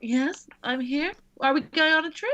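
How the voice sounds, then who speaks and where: A woman uses a put-on character voice. It sits high in pitch and moves at a moderate pace. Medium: actual play. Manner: eager, cheerful.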